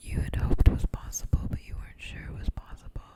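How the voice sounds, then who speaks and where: A woman whispers while noticeable background noise carries on around her. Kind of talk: whispered ASMR ramble; casual talk to camera. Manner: soft, whispered, slow, intimate.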